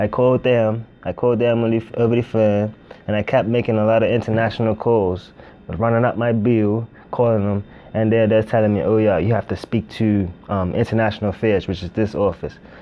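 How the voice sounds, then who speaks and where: A man speaks in a fairly low pitch with a monotone, flat intonation over noticeable background noise. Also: fairly quick pace. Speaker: international student. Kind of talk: documentary interview.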